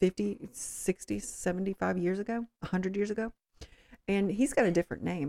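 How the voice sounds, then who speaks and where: A woman talks at a fairly slow pace with a dark, mellow tone and ordinary pitch variation. The sound is dry and close, with no echo. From southwest Louisiana, Cajun area. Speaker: host's wife, guest. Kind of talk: casual chat. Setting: home recording.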